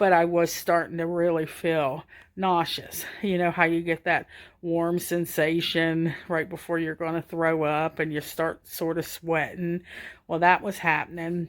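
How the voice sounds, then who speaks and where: In a very clean recording with a silent background, a woman speaks at a fairly slow pace with a slight Southern US accent. Her pitch is fairly low and her intonation monotone and flat. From US South, Georgia. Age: 50s. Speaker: stroke survivor. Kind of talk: personal testimony. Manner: casual, halting.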